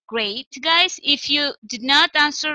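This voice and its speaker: A woman projects a raised voice with lively intonation and a bright, sharp tone. The sound is dry and close, with no echo. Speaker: English teacher. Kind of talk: online lesson.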